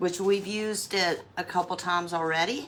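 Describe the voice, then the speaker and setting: A woman with a North Carolina accent, medium pitch and fairly even intonation, over noticeable background noise. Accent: Southern US (North Carolina). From US South, North Carolina. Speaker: craft livestreamer. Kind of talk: live craft tutorial. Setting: livestream. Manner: casual, chatty.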